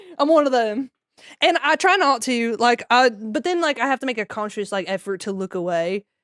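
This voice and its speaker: With a Southern US accent, a woman talks at a fairly quick pace and fairly high pitch in an animated tone. The sound is dry and close with no echo, on a very clean recording with a silent background. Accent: Southern twang. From Maryland, US. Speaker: streamer. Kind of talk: casual chat. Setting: live stream.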